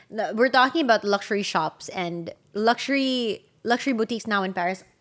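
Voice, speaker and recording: In an American accent, a woman talks at a fairly quick pace. Her pitch is fairly high, with ordinary variation. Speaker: podcast co-host. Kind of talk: casual chat.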